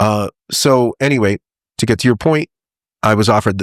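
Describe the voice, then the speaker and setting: Very fast and fairly low, a man speaks in an American accent with ordinary pitch variation. The sound is dry and close with no echo, on a very clean recording with a silent background. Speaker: voiceover artist. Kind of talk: casual chat.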